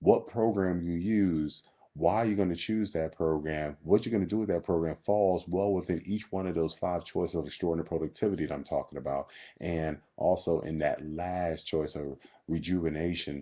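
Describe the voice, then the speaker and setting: At a moderate pace, a man with a very deep, low pitch speaks in an animated tone. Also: ordinary pitch variation. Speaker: fitness coach. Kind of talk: webcam vlog. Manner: talking low.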